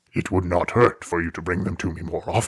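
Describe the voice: A man's put-on character voice, very deep and low, growling and raspy, at a fairly quick pace.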